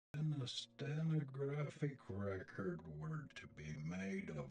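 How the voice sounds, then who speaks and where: Music plays in the background as a man talks at a very slow pace. His pitch makes very wide swings. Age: old. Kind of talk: spoken-word reading about spiritualism.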